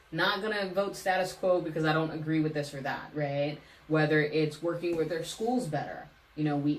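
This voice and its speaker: Speaking at a fairly quick pace with an American accent, a woman has a very deep, low pitch and fairly even intonation. Audible room echo and noticeable background noise come through in the recording. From Hayward, California (US West Coast). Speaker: city council candidate. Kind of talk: interview conversation.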